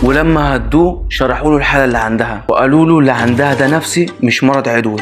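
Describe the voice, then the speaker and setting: A man with an Egyptian accent, medium pitch, and ordinary pitch variation, music in the background. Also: fairly quick pace, very even loudness. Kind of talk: horror story narration.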